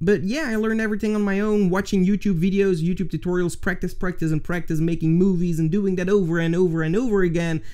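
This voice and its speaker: A man's high-pitched, dark, mellow voice with a Flemish accent and hardly any pauses. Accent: Flemish Dutch accent in English. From Flanders, Belgium. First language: Dutch. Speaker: video editing tutorial YouTuber. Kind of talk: casual Q&A to camera.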